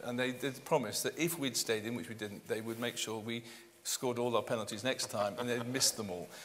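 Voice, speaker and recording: A man with a British accent, a medium pitch and a fairly quick pace. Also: ordinary pitch variation. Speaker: real estate consultant panellist. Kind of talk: conference panel discussion.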